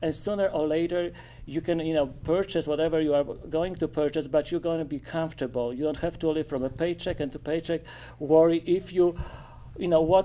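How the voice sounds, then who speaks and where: The speaker talks at a moderate pace with a Polish accent. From Poland. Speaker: forum participant. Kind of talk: public forum discussion.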